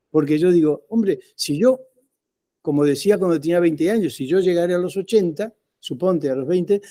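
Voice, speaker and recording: Speaking at a moderate pace, a man with a high pitch and a dark, mellow tone is heard on a very clean recording with a silent background. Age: 70s. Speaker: professor. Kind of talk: lecture. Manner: halting.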